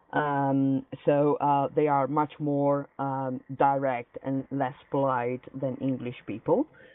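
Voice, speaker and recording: A woman's very deep, low voice in an Italian accent, monotone and flat, at a very slow pace. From Italy. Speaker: activist in a dispute. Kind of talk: heated debate. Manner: halting, hesitant.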